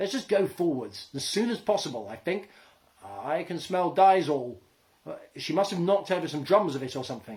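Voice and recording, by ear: The speaker is reading aloud. The delivery is in a natural voice.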